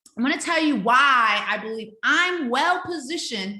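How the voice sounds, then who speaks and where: An animated, raised and projected voice swings very widely in pitch, with audible room echo around it. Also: woman. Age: 50s. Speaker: life coach and speaker. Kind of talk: online webinar class. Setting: video webinar.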